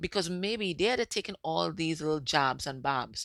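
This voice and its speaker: A woman with a very deep, low pitch and lively intonation, in a dry, close sound with no echo. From Caribbean. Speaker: psychic medium and tarot reader. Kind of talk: tarot reading monologue. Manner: soft-spoken; casual, repetitive.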